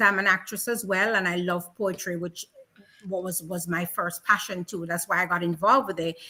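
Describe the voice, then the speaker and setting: At a moderate pace, a woman speaks with a strong Jamaican accent. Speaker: radio host and community ambassador. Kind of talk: casual interview.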